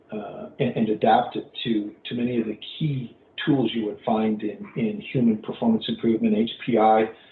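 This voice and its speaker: A man's medium-pitched voice in a flat monotone. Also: moderate pace. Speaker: earned value management practitioner. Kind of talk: webinar presentation. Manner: loud; halting.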